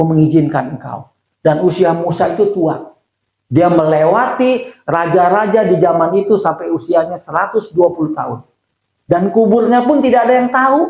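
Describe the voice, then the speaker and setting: A man's pitch rises and falls across a very wide range. He talks at a moderate tempo. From Indonesia, Bandung and Jakarta. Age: 60s. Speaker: pastor. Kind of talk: sermon. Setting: church. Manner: conversational, with fillers and self-corrections.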